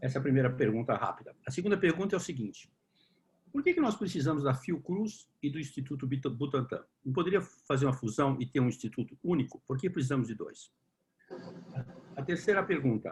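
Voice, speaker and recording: Somewhat breathy and fairly high in pitch, a man speaks at a fairly quick pace. His intonation is lively. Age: 60s. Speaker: discussion group moderator. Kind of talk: online panel Q&A.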